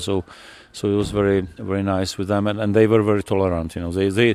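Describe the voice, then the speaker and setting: A man speaks with a Czech accent and a fairly low pitch. His intonation is fairly even. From Czech Republic, Teplice. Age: 60s. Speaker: rock musician. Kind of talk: interview. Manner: halting.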